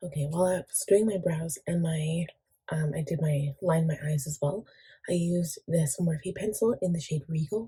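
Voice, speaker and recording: A woman with a fairly low pitch and a dark, mellow, somewhat breathy tone talks quietly at a moderate pace, using ordinary pitch variation. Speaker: beauty vlogger. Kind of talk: makeup tutorial talk to camera.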